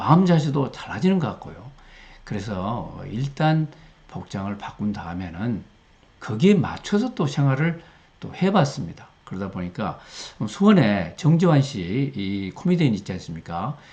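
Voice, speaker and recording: Speaking at a fairly slow pace, a man uses medium pitch with very wide pitch swings. His voice is somewhat breathy, with big swings in loudness. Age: 60s. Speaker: retired professor, learning center director. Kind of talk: casual talk to camera.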